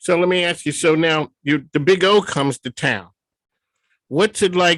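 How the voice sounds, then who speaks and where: Recorded dry and close with no echo over a quiet background, a man with an unremarkable speaking voice talks at a moderate pace with ordinary pitch variation. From Philadelphia. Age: 60s. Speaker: radio host. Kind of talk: interview.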